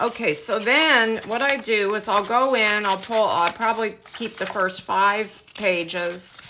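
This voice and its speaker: Noticeable background noise sits behind a woman's fairly high voice. She talks at a fairly slow pace with hardly any pauses. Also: ordinary pitch variation. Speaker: craft tutorial youtuber. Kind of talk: tutorial. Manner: casual, halting with fillers.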